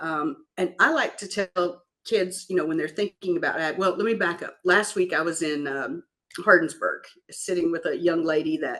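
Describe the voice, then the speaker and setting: A woman speaks with a Kentucky accent. Her pace is moderate. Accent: Kentucky Southern. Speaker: farm equipment business executive. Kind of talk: interview.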